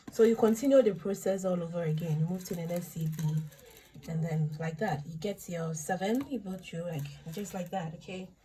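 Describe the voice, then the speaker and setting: This woman's voice is quiet and fairly low in pitch. Her pace is moderate, with big swings in loudness. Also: ordinary pitch variation. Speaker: bead craft tutorial maker. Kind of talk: tutorial. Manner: talking louder than usual; uneven loudness, voice goes down and up.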